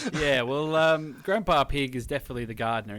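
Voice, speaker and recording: A man talking at a very fast pace. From rural Australia. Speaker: podcast host. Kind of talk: casual chat. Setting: Skype call.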